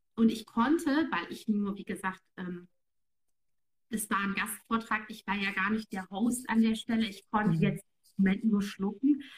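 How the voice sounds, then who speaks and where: A woman with a somewhat breathy voice and fairly high pitch talks at a moderate pace with ordinary pitch variation. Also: big swings in loudness. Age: 30s. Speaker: online marketing entrepreneur. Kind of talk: casual interview chat.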